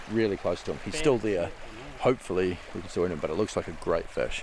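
There is noticeable background noise behind a man whose voice sounds dry, with no echo. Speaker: fishing vlogger. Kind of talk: casual vlog chat. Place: waterside. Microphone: phone near.

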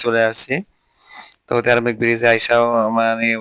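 The recording of this man's medium-pitched voice is dry and close, with no echo. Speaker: vlogger and teacher. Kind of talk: travel vlog narration. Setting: outdoors on a cycling trip. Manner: casual, conversational.

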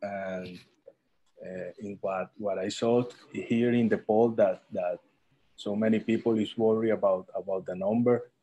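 A man's dark, mellow tone at a fairly slow pace. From Colombia. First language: Spanish. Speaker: eye surgeon. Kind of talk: online panel discussion. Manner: halting. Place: home room. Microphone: video call.

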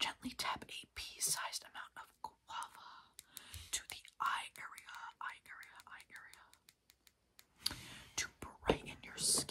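Whispering and soft-spoken, the speaker goes at a fairly slow pace with long, frequent pauses over light background noise. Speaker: skincare vlogger. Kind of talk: casual vlog chat, reading product labels. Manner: soft repetitive ASMR whisper. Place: home room. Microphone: phone near.

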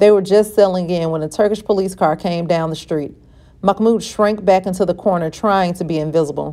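The pitch shifts in an ordinary way across an unforced reading voice.

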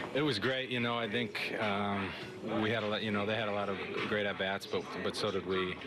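The background noise is loud. Over it, a man talks fairly quickly. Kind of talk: interview answer. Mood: calm, pleased after win. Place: hall. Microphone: handheld.

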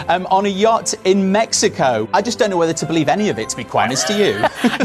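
A man delivers his words fairly quickly as clear music plays behind him. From Britain. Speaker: entertainment correspondent and royal commentator. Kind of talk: TV entertainment news commentary and interview banter. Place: studio. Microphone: lapel.

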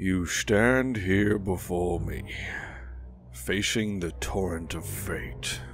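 A man's very deep, low voice over loud background music. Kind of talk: dramatic intro monologue. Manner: grave, foreboding.

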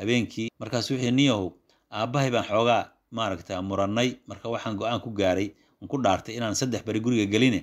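A man with a Somali accent talks at a very fast pace, his intonation fairly even. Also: medium pitch for a man, very clean recording, silent background. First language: Somali (speaking Arabic). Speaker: Islamic scholar teaching a text. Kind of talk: religious lesson.

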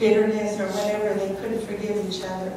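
A woman speaks with noticeable background noise. The room has a strong echo. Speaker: caregiver. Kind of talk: eulogy. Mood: warm, earnest. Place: church.

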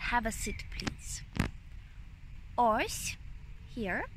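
Light background noise sits behind a woman's voice. There is no echo, and the sound stays dry. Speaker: language teacher. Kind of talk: tutorial. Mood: warm, smiling, relaxed. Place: open country. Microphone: phone near.

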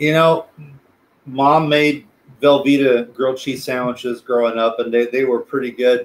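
A man speaks with a Texan accent. His intonation is monotone and flat. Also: moderate pace. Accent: Texan American English. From South Texas. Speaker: special education teacher and planetarium director; interview guest, teacher. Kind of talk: casual interview; interview answer. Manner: halting, many repeated words and fillers. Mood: relaxed, friendly. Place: home room. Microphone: video call.

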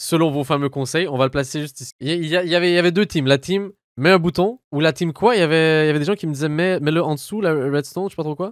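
A man with a fairly high pitch talks at a very fast pace with hardly any pauses, the sound dry with no echo. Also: ordinary pitch variation, quiet background. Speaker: gaming youtuber. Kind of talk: let's play commentary. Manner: animated.

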